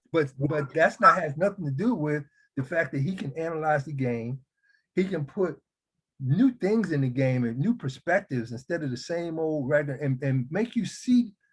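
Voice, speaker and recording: This man's voice sits fairly high and sounds somewhat breathy. His intonation is lively and his pace moderate. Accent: American. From US Northeast (Philadelphia). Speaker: podcast host, former basketball player. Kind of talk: casual chat. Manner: talkative.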